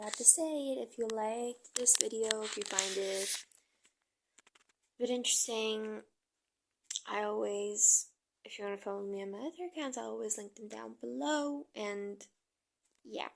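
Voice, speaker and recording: A woman with a non-native accent speaks at a fairly high pitch and a moderate pace, with ordinary pitch variation. Her loudness swings widely, and her pauses are long and frequent. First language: not English. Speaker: vlogger. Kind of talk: casual monologue vlog. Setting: at home filming at night. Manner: halting, many fillers.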